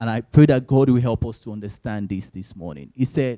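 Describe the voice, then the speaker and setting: Dark and mellow in tone, a man's medium-pitched voice moves with lively intonation in a dry, close sound with no echo. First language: not English. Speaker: lay preacher. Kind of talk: sermon. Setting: church service.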